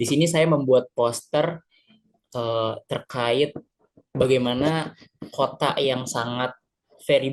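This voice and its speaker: A man's very slow speech keeps a fairly level intonation. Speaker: student presenter. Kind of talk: poster presentation. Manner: halting, many fillers.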